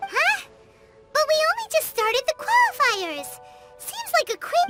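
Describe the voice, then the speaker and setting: A squeaky, put-on character voice pitched extremely high comes at a moderate pace. Faint music plays in the background. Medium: video game. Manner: excitable, exclamatory.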